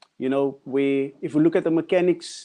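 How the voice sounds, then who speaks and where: A man with a South African accent, dark, mellow tone and moderate pace, against a quiet background. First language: Afrikaans. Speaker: artist. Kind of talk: panel discussion.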